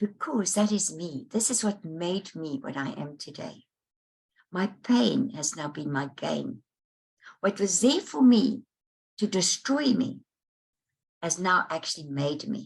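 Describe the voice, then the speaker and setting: Speaking at a fairly slow pace with long, frequent pauses, a woman with a medium pitch sounds somewhat breathy as her pitch swings very widely. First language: Dutch. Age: 70s. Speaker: life coach and author. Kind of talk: interview. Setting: online summit interview.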